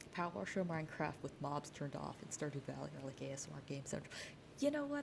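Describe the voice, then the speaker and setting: A woman with an American accent speaks at a fairly quick pace. Her voice is very deep and low in pitch, with vocal fry. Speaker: streamer. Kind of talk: casual talk to camera.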